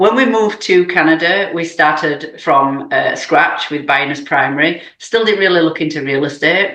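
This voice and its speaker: With a British accent, a woman talks at a fairly low pitch. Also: lively intonation, moderate pace. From UK. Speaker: real estate investor. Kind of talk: podcast interview.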